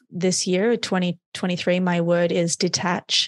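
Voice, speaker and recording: Against a quiet background, a woman with an Australian accent speaks in a monotone, flat intonation. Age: 30s. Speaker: neuroscience performance coach. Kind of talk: interview.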